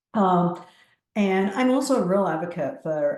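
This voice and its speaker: With audible room echo, a woman speaks at a fairly slow pace in a dark, mellow tone. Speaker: appraisal department manager. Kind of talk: webinar presentation. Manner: hesitant, many fillers.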